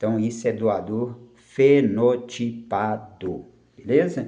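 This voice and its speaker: This man's voice has a dark, mellow tone at medium pitch, with audible room echo. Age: 60s. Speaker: karate instructor. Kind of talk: personal life story monologue. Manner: halting, with frequent fillers and repetitions.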